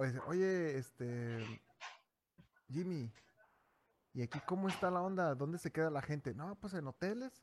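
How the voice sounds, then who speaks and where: A man's fairly high voice at a fairly slow pace, broken by long, frequent pauses. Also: lively intonation. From Mexico, Durango. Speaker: podcast host. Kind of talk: casual chat. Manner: animated.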